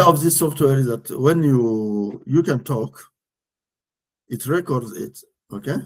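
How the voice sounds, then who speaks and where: Speaking fairly slowly with lively intonation, a man with a West African accent uses a medium pitch. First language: French. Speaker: executive coach and risk consultant. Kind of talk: interview. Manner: halting.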